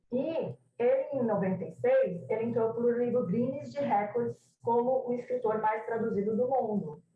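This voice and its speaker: The speaker has a Brazilian accent. The pace is moderate, with ordinary pitch variation. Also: woman, fairly high pitch for a woman. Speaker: translation scholar. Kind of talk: academic presentation. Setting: video call. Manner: halting.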